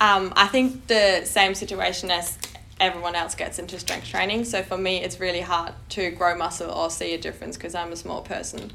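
Through audible room echo and noticeable background noise, a woman speaks fairly quickly at a medium pitch with fairly even intonation. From Germany. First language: German. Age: 20s. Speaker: personal trainer. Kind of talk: casual chat.

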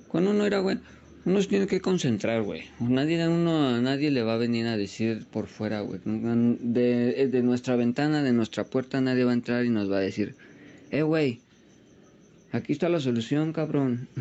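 In a Mexican accent, a man talks at medium pitch and a moderate pace with lively intonation. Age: 20s. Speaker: podcaster. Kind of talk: personal monologue. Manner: casual, slangy.

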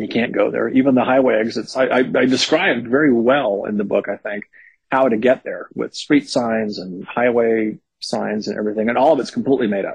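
At a fairly quick pace, a man talks in a normal speaking voice. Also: medium pitch for a man, ordinary pitch variation. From Northern California (Berkeley). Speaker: horror novelist. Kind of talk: interview.

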